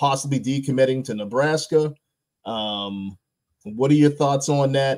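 Over a quiet background, a man with a medium-pitched, energetic voice speaks at a fairly slow pace with ordinary pitch variation. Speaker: podcast host. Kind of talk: casual sports chat. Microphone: video call.

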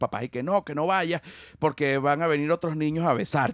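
With an animated tone, a man talks at a very fast pace. The recording is dry with no echo over a quiet background. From Venezuela. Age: 40s. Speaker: comedian. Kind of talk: casual chat. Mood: playful, humorous. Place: studio. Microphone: studio mic.

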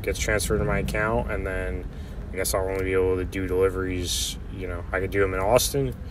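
There is noticeable background noise as a man speaks. The sound is dry, with no echo. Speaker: van dweller vlogger. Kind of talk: casual vlog chat. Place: car. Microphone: phone near.

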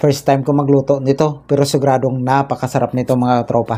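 A man is speaking. His pace is moderate. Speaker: food video host. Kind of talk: casual vlog chat.

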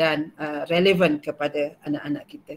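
At a moderate pace, a woman with an unremarkable speaking voice talks with fairly even intonation. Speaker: school principal. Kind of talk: welcome speech.

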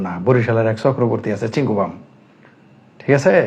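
This man's pitch varies in an ordinary way as he talks. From Bangladesh. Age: 50s. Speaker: political commentator. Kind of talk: political commentary monologue. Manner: animated.

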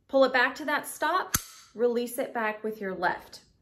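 Over noticeable background noise, a woman with an American accent and a fairly high pitch talks at a fairly slow pace. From Southern United States. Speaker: firearms instructor. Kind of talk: instructional tutorial to camera. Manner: friendly, encouraging. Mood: friendly, upbeat. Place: home room.

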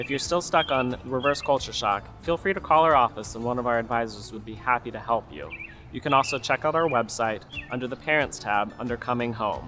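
Talking fairly fast, a man is heard while clearly audible music runs underneath. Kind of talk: informational presentation. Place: open country.

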